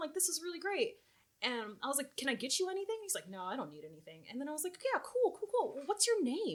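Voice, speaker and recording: A woman speaks loudly and very fast at an extremely high pitch, her tone animated and her pitch swinging very widely. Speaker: convention coordinator for a gaming accessories company. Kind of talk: casual chat.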